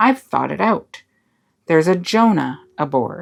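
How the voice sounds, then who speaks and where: A growling, put-on character voice sits at middle pitch. It moves at a fairly slow pace. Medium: read story. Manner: menacing, silky politeness.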